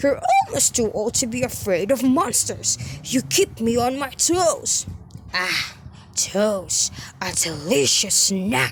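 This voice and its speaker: A female-sounding, put-on character voice speaks fairly slowly over clear background noise. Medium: read story. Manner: growling, mock-polite.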